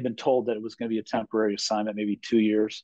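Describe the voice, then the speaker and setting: A man with an American accent talks at a very fast pace and medium pitch, recorded dry and close with no echo. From Detroit, Michigan, US. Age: 60s. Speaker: business executive and foundation co-founder. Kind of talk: interview, casual conversation.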